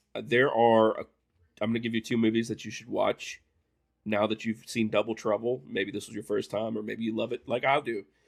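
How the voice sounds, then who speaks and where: A man with an Appalachian accent talks fairly quickly at a medium pitch in a monotone, flat intonation. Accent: Appalachian twang. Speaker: movie commentary host. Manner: casual, rambling.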